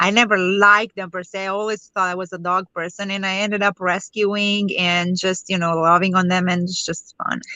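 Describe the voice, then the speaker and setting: A woman at a fairly quick pace with a Romanian accent. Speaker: network marketer. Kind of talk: interview.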